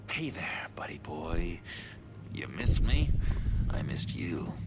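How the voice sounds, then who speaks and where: A man whispers. He is using a put-on character voice. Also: fairly slow pace. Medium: game stream. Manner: giggly, teasing.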